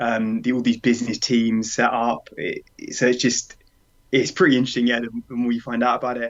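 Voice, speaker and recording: A man's medium-pitched voice with a British accent, fairly quick and monotone, with flat intonation. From UK. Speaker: runner. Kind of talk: interview.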